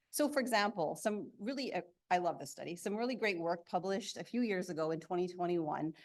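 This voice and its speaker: Over a quiet background, a woman with a medium pitch speaks with lively intonation. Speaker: researcher presenting at a conference. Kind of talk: conference talk. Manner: fast.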